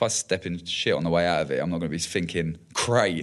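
Over a quiet background, the words come out at a very fast pace. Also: man. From southern England, Hertfordshire (Watford area). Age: 20s. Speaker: mixed martial arts fighter. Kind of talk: casual interview chat. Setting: studio.

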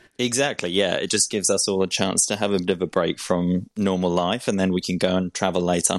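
Speaking very fast with hardly any pauses, a man has a very deep, low pitch and very even loudness. He has a slight Australian accent. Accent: English with a slight Australian tinge. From England. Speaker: cancer patient sharing his story. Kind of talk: interview. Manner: laughs often.

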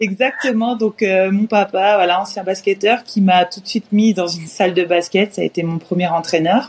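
A woman's normal speaking voice at medium pitch, with fairly even intonation, a moderate pace and hardly any pauses. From France, Orléans area. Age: 30s. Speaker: professional basketball player. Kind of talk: interview.

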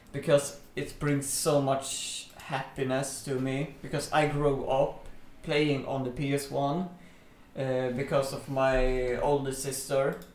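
Against noticeable background noise, a man with a Swedish accent speaks very slowly in a fairly high pitch with monotone, flat intonation. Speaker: podcast co-host. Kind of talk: casual chat.

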